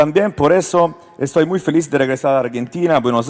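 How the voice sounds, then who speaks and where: Over noticeable background noise, a man with an Italian accent talks at a fairly quick pace with ordinary pitch variation. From Italy. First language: Italian (speaking Spanish). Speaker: politician. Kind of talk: panel speech, partly read. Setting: stage with audience.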